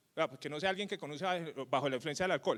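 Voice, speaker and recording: A man speaks with a strong Cali accent, lively intonation and an animated tone in a very clean recording with a silent background. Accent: Cali (caleño) Colombian Spanish, strong. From Colombia, Cali. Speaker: tech company co-founder and CEO. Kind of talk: conference talk. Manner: animated, colloquial.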